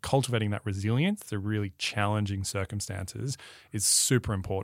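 In an Australian accent, a man with a fairly low voice talks very fast, the sound dry and close with no echo on a very clean recording against a silent background. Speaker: podcast host. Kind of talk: podcast interview.

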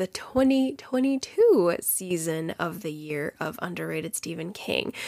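This woman talks very slowly, her intonation lively throughout. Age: 30s. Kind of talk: casual interview chat; solo podcast intro and outro. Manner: animated.

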